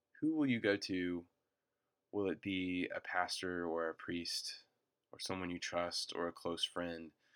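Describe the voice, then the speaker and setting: A man talks fairly slowly. The recording is very clean and the background silent. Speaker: campus minister and preacher. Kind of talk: recorded sermon recap. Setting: re-recorded alone, not in service. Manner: frequent filler words.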